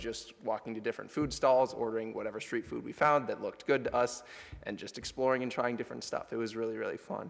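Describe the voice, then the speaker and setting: A man speaks at a medium pitch with fairly even intonation. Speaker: college student sharing trip reflection. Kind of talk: chapel presentation. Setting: church chapel with audience. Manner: casual, loosely improvised.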